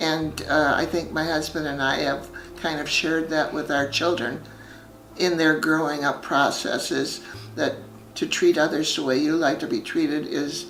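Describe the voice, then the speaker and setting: A woman with a very deep, low pitch and monotone, flat intonation at a moderate pace, with audible room echo and music in the background. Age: 90s. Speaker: retired senior resident. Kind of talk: interview. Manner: halting.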